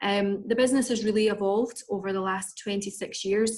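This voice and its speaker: The speaker has a Scottish accent. The intonation is monotone and flat. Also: woman. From Scotland, Edinburgh. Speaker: recruitment and sales manager. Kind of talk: business presentation. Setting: video call.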